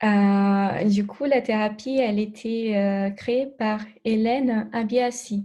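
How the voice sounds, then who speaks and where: Fairly high in pitch yet dark and mellow in tone, a woman speaks very slowly in a somewhat breathy, monotone, flat delivery. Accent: Brazilian. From Brazil. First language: Portuguese (speaking French). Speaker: alternative therapist. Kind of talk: interview. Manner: halting, many hesitations.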